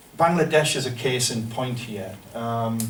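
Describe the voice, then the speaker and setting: A man with a northern English accent speaks at a medium pitch with ordinary pitch variation. There is audible room echo and noticeable background noise. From northern England. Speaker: professor. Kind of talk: lecture. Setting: seminar room with audience. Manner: hesitant, many fillers.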